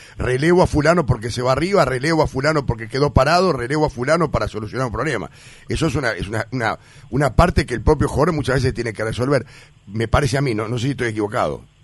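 A somewhat breathy man with a Uruguayan accent, medium pitch and ordinary pitch variation, at a very fast pace. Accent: Rioplatense Spanish (Uruguayan). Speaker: sports radio host. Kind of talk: radio interview.

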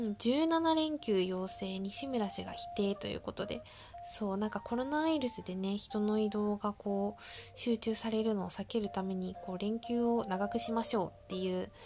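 A woman talks with lively intonation. Music runs in the background. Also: medium pitch for a woman, moderate pace. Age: 20s. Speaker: podcast host and bank employee. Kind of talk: casual solo monologue. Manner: chatty.

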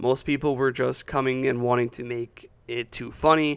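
This is a man with a medium pitch. His intonation is fairly even. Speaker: film podcast co-host. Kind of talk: casual chat. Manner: halting, repeats words.

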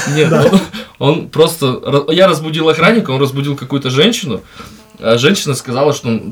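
A man at a fairly high pitch with ordinary pitch variation, moderate in pace with long, frequent pauses, against noticeable background noise. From remote settlement in Russia, from a small ethnic minority. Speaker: podcast guest, works as a host. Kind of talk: casual chat. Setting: studio.

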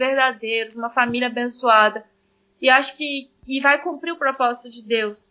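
A woman's high-pitched voice in monotone, flat intonation. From Brazil, Espírito Santo (Vila Velha). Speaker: missionary. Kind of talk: interview testimony.

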